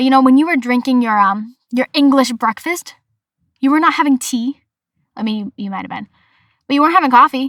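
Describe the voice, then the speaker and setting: In an American accent, a woman talks at a fairly quick pace with a high pitch, lively intonation and an animated tone, leaving long, frequent pauses, in a dry, close sound with no echo. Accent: Boston accent, comes out at times. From Massachusetts, US. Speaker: podcast host. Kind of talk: casual solo podcast.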